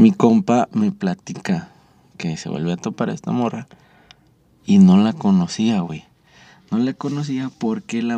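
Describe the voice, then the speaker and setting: In a dry, close recording with no echo, a man with a dark, mellow tone and medium pitch speaks at a fairly slow pace, his pitch swinging very widely. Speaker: podcast host. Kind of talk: casual chat. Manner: animated.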